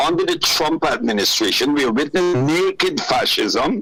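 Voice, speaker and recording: Fairly slow speech from a man, with noticeable background noise around it. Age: 70s. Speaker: political commentator. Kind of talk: radio interview. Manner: animated.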